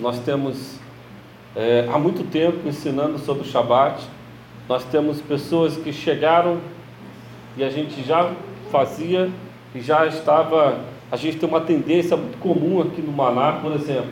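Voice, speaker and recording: A man with a fairly high voice talks at a fairly slow pace, his intonation fairly even. Long, frequent pauses break up his speech, with audible room echo and noticeable background noise. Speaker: religious teacher. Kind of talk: sermon-style teaching.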